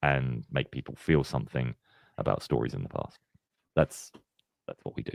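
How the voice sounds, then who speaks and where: Vocal fry marks this man's speech, heard in a dry, close sound with no echo. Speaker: channel founder and narrator. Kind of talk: live Q&A stream. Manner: halting, with fillers.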